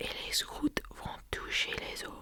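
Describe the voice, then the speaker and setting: Someone whispers at a very slow pace. Noticeable background noise runs behind the voice. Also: man. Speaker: ASMR content creator. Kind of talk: reading aloud from a book. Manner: slow, hesitant reading.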